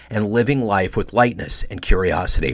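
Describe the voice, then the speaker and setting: A normal speaking voice from a man with a General American accent, fairly quick pace and ordinary pitch variation. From United States. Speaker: podcast host. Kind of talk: scripted narration.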